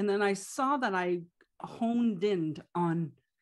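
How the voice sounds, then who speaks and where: In a Quebec accent, a woman with a medium pitch speaks with lively intonation against a quiet background. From Quebec, Canada. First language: French. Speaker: life coach and businesswoman. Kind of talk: casual interview chat.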